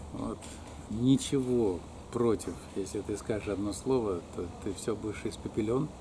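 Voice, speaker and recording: Against noticeable background noise, a man with a fairly low pitch speaks at a fairly slow pace with lively intonation. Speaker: alternative health practitioner and academic; interviewee. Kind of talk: life story interview; interview answer. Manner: halting, with many fillers. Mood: relaxed, reminiscing, sometimes smiling. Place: garden. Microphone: phone near.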